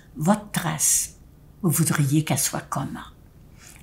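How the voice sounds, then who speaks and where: Very slowly, a woman speaks in a somewhat breathy voice with very wide pitch swings. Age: 90s. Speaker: elderly speaker addressing seniors. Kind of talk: direct-to-camera address. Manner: halting.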